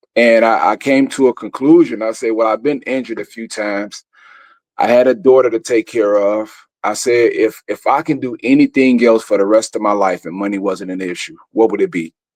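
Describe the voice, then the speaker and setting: A man's medium-pitched voice in a Chicago accent, at a fairly quick pace with ordinary pitch variation, in a dry, close sound with no echo and a quiet background. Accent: country-sounding Chicago speech. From Chicago, West Side (Austin). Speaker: actor and theater producer. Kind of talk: interview conversation. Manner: casual.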